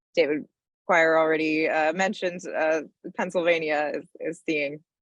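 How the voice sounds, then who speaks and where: In a normal speaking voice, a woman talks at a moderate pace, fairly low in pitch, with fairly even intonation. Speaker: energy policy advocate. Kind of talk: panel presentation.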